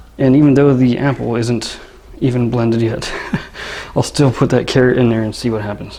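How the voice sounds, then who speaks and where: A soft-spoken man talks at a medium pitch with fairly even intonation. Noticeable background noise runs under his voice. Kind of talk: product review demo, casual talk to camera. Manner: soft-spoken, monotone, relaxing drone.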